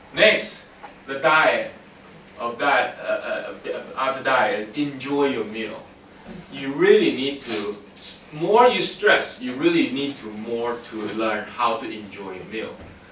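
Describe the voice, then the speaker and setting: Over noticeable background noise and audible room echo, a man with a fairly high pitch speaks at a very slow pace, his intonation lively, his loudness swinging widely, and his speech broken by long, frequent pauses. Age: 60s. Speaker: workshop speaker. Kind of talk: lecture.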